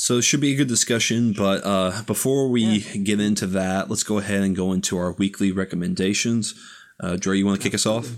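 Against a very clean recording with a silent background, a man with an American accent talks at a very fast pace in a fairly low pitch, with fairly even intonation and very even loudness. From US South (Tennessee, Florida, Texas). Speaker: podcast co-host. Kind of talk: casual chat.

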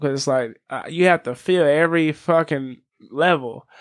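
A man speaks in an ordinary speaking voice at a fairly high pitch, with ordinary pitch variation. His pace is moderate, and the background is quiet. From Las Vegas and California. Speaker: recording artist. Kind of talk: casual chat.

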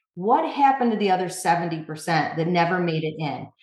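A woman's lively intonation with audible room echo. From upstate New York. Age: 40s. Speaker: magazine founder and editor. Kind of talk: interview.

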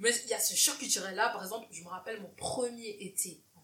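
A woman with a bright, sharp, animated tone, ordinary pitch variation and a moderate pace. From Cameroon. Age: 20s. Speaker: podcast host. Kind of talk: casual interview chat. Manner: animated, laughing often.

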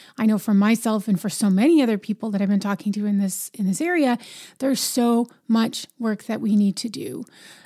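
Recorded very cleanly against a silent background, with a dry, close sound and no echo, a woman talks at a very fast pace in a fairly high, somewhat breathy voice of dark, mellow tone and ordinary pitch variation. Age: 40s. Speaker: podcast host. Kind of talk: solo monologue podcast.

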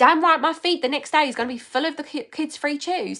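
A woman speaks at a very fast pace in an animated, bright, sharp tone. Her pitch variation is ordinary. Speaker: social-selling coach. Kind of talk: live Q&A. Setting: livestream.

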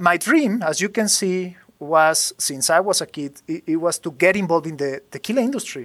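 A man with a Spanish accent speaks at a moderate pace and high pitch with ordinary pitch variation. The recording is very clean, with a silent background. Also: hardly any pauses. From Mexico, Jalisco. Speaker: master distiller. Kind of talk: interview. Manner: halting.

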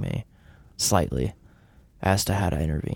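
With an American accent, a man speaks at a moderate pace with ordinary pitch variation. He has a plain, everyday voice. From US South. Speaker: counselor. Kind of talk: casual chat.

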